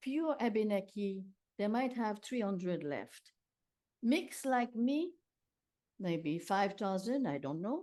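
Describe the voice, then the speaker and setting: Very slow and full of long, frequent pauses, a woman speaks at a fairly high pitch with very wide pitch swings and a dark, mellow tone. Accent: Quebec. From Quebec, Canada. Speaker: children's book author. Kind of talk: interview. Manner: quiet.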